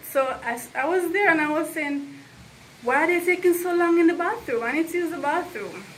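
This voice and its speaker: Noticeable background noise fills the clip. Through it, a woman talks with ordinary pitch variation. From Jamaica. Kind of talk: storytelling to camera. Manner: casual, conversational.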